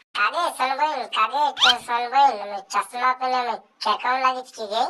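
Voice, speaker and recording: A female-sounding cartoonish character voice has a high pitch. It moves at a moderate pace. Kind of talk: comic cartoon dubbing. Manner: boastful, quick to take offense.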